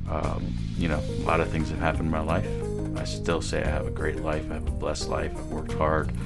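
Loud music plays in the background. A man speaks over it at a moderate pace. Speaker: podcaster. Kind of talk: motivational monologue. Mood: reflective, earnest. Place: home room. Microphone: studio mic.

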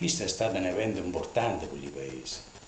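A man with a Lazio accent speaks with lively intonation. Audible room echo and light background noise can be heard. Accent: Ferentino dialect. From Ferentino, Italy. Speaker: dialect storyteller. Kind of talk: dialect storytelling monologue. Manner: humorous, anecdotal. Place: home room. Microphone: camera far.

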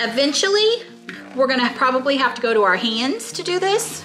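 A woman speaks fast-ish at a high pitch. Faint music plays in the background. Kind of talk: tutorial. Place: kitchen.

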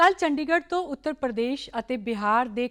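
A woman speaks in a high voice with very wide pitch swings against a quiet background. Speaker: TV news anchor. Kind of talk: newsreading, formal TV bulletin. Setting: studio. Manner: formal; steady, even-paced.

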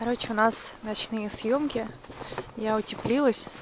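A woman speaks in a flat monotone at a fairly slow pace. The sound is dry with no echo, over light background noise. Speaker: vlogger. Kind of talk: casual vlog chat. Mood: dreamy, cozy, admiring. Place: street. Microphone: phone near.

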